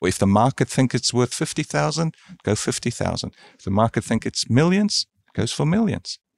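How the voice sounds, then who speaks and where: On a very clean recording with a silent background and a dry, close sound with no echo, a man at medium pitch moves at a fairly quick pace with very wide pitch swings. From South Africa. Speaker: creative strategist and keynote speaker. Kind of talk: podcast interview.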